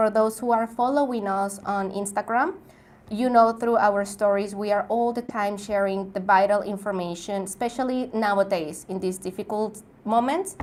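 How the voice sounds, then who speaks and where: The speech moves at a moderate pace. It is delivered with a Spanish accent. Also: woman. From Mexico. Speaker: travel YouTuber. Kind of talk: live stream Q&A. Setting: live stream.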